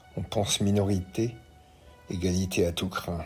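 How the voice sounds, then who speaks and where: Very slow speech with ordinary pitch variation over music in the background. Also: man. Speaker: opinion columnist. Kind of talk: read opinion commentary.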